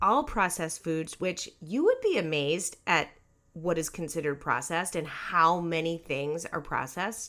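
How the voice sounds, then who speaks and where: On a very clean recording with a silent background, a woman talks at a fairly slow pace. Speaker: podcast host and life coach. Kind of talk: casual solo podcast talk. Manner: chatty, informal with fillers.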